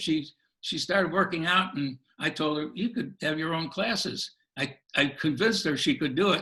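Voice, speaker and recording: At a moderate pace, a man with a fairly high voice speaks in a bright, sharp tone over a quiet background. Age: 80s+. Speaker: self-help program creator. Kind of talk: interview. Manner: halting.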